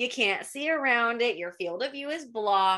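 Against a quiet background, a woman with a bright, sharp tone speaks at a fairly slow pace, her pitch swinging very widely. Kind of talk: interview answer. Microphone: webcam.

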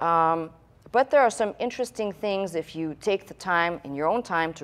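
A woman talks in a plain, everyday voice at a fairly quick pace. Her pitch is fairly low, with ordinary variation. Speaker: pastor teaching. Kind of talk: sermon. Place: church.

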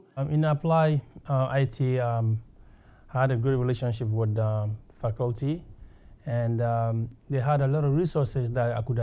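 A man speaks at a moderate pace, his medium-pitched voice dark and mellow in tone. Intonation stays fairly even and the loudness very even. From West Africa. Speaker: graduate student alumnus. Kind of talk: testimonial interview. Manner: halting, many fillers. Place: meeting room. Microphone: lapel.

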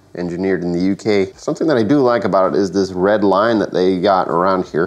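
Speaking at a fairly quick pace, a man with a low pitch has a slightly mellow tone.

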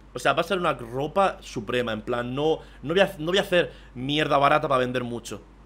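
With an animated tone and lively intonation, a man speaks at a fairly high pitch. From southeastern Spain, Murcia and Almería; southeastern Spain. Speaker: streamer. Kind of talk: live stream reaction commentary. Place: home room.

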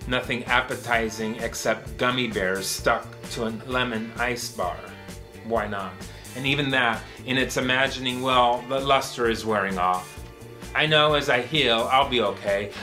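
A man's voice at a moderate pace with ordinary pitch variation, clear music in the background. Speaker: poet. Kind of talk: poetry reading. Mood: weary, melancholic, wry. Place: home room.

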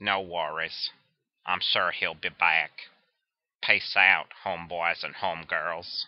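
In a cartoonish character voice, the speaker talks at a fairly slow pace, raspy and very deep, with monotone, flat intonation. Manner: relaxed, friendly.

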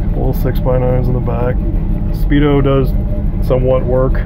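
Music plays in the background as the voice moves at a moderate pace. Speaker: car seller. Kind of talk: casual walkaround commentary. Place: car. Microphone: phone near.

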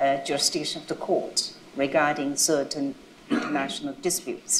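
Speaking with a Chinese accent and ordinary pitch variation, a woman is heard with audible room echo over light background noise. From China. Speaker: international judge. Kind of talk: panel discussion. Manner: loud. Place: hall.

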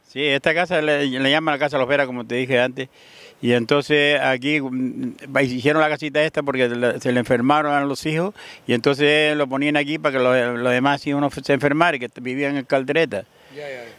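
A man's fairly high voice, monotone and flat, in a dry sound with no echo. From Fuerteventura, Canary Islands; Canary Islands, Spain. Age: 70s. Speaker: local elder, villager; interviewee. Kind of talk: casual interview. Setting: outdoors by the sea. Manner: halting. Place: open country. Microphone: handheld.

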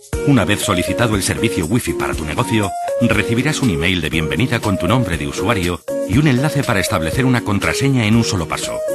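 Over loud background music, a man talks at a fairly quick pace in a dry sound with no echo. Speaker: professional voice actor and radio announcer. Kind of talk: corporate explainer narration. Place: studio. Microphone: studio mic.

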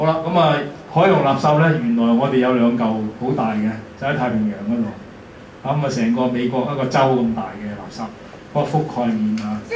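A man with a Hong Kong accent talks at a moderate pace with ordinary pitch variation, over light background noise and audible room echo. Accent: Hong Kong Cantonese. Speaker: environmental volunteer and speaker. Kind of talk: lecture. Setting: lecture hall with audience.

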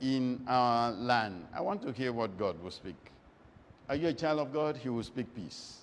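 This man talks with lively intonation. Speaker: preacher. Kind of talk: sermon.

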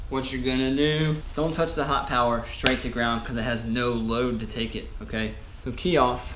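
A man talks with room echo audible and a little background noise present. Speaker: motorcycle repair YouTuber. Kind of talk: tutorial. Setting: workshop. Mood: self-mocking, relaxed. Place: garage. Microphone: camera far.

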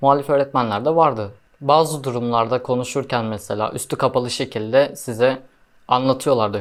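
A man with an ordinary speaking voice at medium pitch, fairly even intonation and a moderate pace, on a very clean recording with a silent background. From Erzurum, Turkey. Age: 20s. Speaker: university student, imam hatip graduate. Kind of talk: casual Q&A interview.

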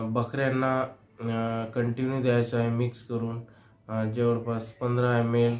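Monotone and flat, a man speaks at a medium pitch. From Maharashtra, Chandrapur. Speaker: veterinary practitioner. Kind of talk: tutorial.

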